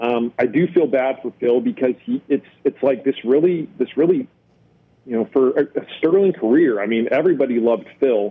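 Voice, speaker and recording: Here is a man with an ordinary speaking voice and an American accent. His pitch is medium and his intonation is lively. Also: moderate pace. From Texas. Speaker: golf journalist. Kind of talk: casual interview.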